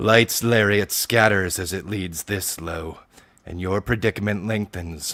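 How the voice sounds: The voice heard here is a natural reading voice.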